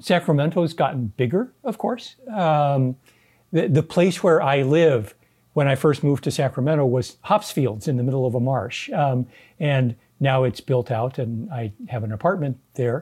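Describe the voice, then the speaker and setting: In a very clean recording with a silent background, a man with an American accent talks at a moderate pace, his dark, mellow, somewhat breathy voice fairly high in pitch and lively in intonation. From Southern California. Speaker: epidemiologist and physician. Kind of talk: interview.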